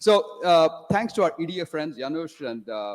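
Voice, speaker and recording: Recorded with a dry, close sound and no echo, a man speaks at a fairly high pitch. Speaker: conference audience member asking a question. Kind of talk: Q&A question. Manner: fast. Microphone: big echo.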